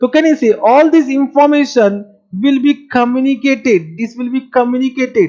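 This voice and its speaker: The speaker has an Indian accent and a moderate pace. The background is quiet. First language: Marwari. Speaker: accounting teacher. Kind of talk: lecture. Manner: animated.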